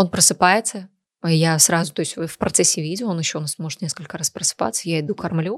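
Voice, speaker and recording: In a plain, everyday voice, a woman speaks at a fairly quick pace and fairly low pitch with ordinary pitch variation, recorded very clean, dry and close with no echo against a silent background. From Sochi, southern Russia. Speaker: cosmetologist and blogger. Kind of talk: casual chat.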